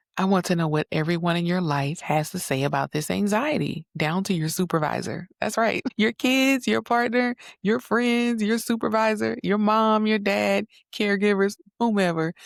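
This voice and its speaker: Soft-spoken delivery with lively intonation at a moderate pace, the sound dry and close with no echo. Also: woman, medium pitch for a woman. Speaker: psychotherapist, podcast host. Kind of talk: solo podcast monologue. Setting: home recording late at night. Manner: conversational.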